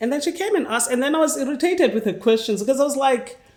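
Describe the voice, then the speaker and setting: With a South African accent, a woman speaks with lively intonation against noticeable background noise. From South Africa, Cape Town townships. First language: Xhosa. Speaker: NGO leader. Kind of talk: interview. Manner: halting.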